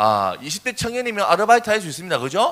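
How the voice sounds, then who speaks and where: A man with a Busan accent talks at a very fast pace in an animated tone with very wide pitch swings. Noticeable background noise runs underneath. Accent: Gyeongsang (Busan) dialect. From South Korea, Busan. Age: 20s. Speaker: youth speaker. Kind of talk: sermon.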